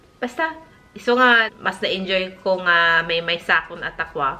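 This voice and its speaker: A woman's medium-pitched voice at a very slow pace. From northern Philippines (Ilocos region). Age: 40s. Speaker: lifestyle vlogger. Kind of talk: casual vlog talk. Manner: halting, with many fillers and restarts.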